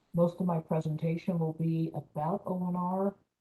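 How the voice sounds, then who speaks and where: Quiet and somewhat breathy, a woman talks with fairly even intonation and a dark, mellow tone. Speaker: navy small business official. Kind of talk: presentation. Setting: video call from home.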